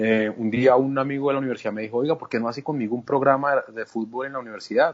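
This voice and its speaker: A man with a medium pitch races along at a very fast pace, his intonation fairly even. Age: 40s. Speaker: journalist. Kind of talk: interview. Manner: halting, frequent repetitions.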